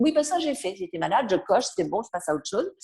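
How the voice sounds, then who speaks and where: The woman's voice has a dark, mellow tone. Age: 60s. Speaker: author and personal development speaker. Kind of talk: interview.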